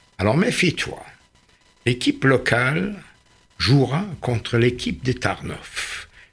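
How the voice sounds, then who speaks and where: A man with a medium pitch speaks at a very slow pace. His voice has very wide pitch swings and long, frequent pauses. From Germany. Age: 80s+. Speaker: Holocaust survivor. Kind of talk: radio interview answer.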